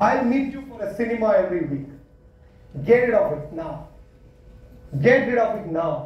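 With a Kannada accent, the speaker moves at a moderate pace, leaving long, frequent pauses, with very wide pitch swings and big swings in loudness. Room echo can be heard. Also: man, high pitch for a man. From Karnataka, India (Thirthahalli, near Shivamogga); Karnataka, India. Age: 30s. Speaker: entrepreneur and CEO, guest speaker; guest. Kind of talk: motivational talk to students. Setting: college auditorium with student audience. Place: hall. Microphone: handheld.

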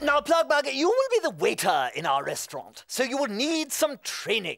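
It is a cartoonish character voice, high in pitch and enthusiastic in tone. The pace is moderate. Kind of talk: children's TV puppet comedy. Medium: comedy sketch. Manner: bossy, enthusiastic.

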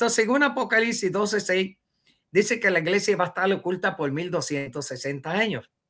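A man talks with a high pitch, a bright, sharp tone and lively intonation. The background is quiet. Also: moderate pace. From Puerto Rico. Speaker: self-proclaimed religious leader, former church minister; former church minister. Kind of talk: interview testimony. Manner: halting. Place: home room.

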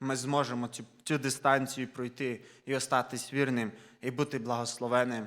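A man at a medium pitch, monotone and flat in intonation, on a very clean recording with a silent background. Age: 20s. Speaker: preacher. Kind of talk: sermon.

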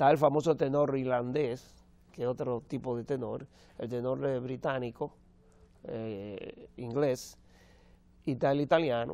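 The man's tone is dark and mellow, his pace fairly slow. His intonation is fairly even, and the sound is dry with no echo. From Dominican Republic. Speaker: opera tenor; TV guest. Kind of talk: TV interview. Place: studio. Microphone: lapel.

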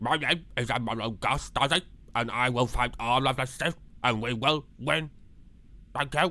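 Pausing long and often, a man puts on a character voice at medium pitch and a medium speed. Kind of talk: casual talk to camera. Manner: upbeat.

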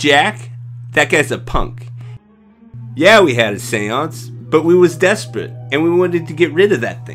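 Over faint music in the background, a man puts on a gruff character voice at a medium pitch, moving at a moderate pace with long, frequent pauses. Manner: gruff, defensive, ungrammatical.

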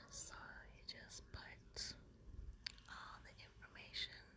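Whispering at a very slow pace. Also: woman. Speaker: ASMR creator. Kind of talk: casual talk to camera, ASMR show and tell.

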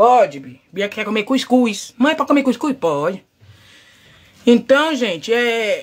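Speaking at a fairly slow pace, a woman with a fairly high pitch shows vocal fry. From Brazil, São Paulo. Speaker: livestreamer / social media personality. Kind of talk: casual live chat. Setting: home livestream. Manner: animated. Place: home room. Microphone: phone near.

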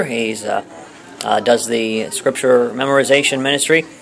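Light background noise is heard as a man speaks. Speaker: interviewer, video host. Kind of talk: casual interview host talk. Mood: warm, earnest. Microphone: phone near.

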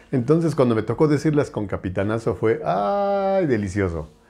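This is a man with a medium pitch. He speaks at a moderate pace. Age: 50s. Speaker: voice actor. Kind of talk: interview. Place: home room. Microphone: lapel.

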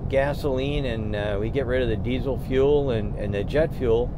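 A man at a moderate pace, in a dry sound with no echo and noticeable background noise. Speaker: road trip host. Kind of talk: casual conversation. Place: car. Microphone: camera far.

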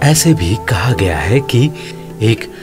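Over clear music in the background, a man speaks very slowly, his pitch swinging very widely. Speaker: audio advertisement voice-over artist. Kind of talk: documentary-style biographical narration. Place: studio.

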